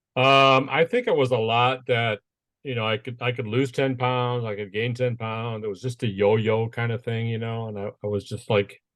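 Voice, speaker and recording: A man speaks at a medium pitch and a moderate pace. His intonation stays fairly even over a quiet background. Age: 60s. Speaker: business owner and inspirational speaker. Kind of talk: interview. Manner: casual, hesitant with repeated fillers.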